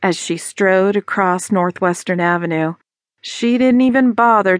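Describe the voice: With only quiet in the background, the clip is plain reading aloud.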